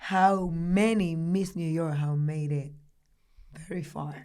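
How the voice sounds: In a Dominican accent, the speaker talks at a slow pace with fairly even intonation and a slightly mellow tone. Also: woman.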